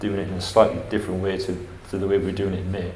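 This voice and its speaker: A man with an English accent talks at a very fast pace. There is noticeable background noise and audible room echo. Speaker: housing agency director. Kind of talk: conference presentation. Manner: hesitant with fillers.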